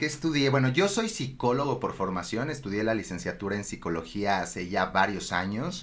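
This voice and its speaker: At a moderate pace, a man with a medium pitch speaks with lively intonation. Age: 30s. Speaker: psychologist and primary school director. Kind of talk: interview. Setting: studio. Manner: energetic.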